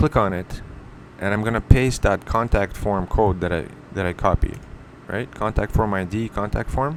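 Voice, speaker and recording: In an ordinary speaking voice, a man with a fairly low pitch speaks at a medium tempo, his pitch varying in an ordinary way. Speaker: web design tutorial maker. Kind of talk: screen-recorded tutorial. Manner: casual, with self-corrections.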